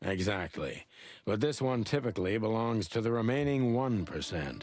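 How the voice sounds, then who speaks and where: Faint music plays in the background. A man uses a put-on character voice at a medium pitch. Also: moderate pace. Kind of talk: hard-boiled noir. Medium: video game. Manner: measured, cryptic.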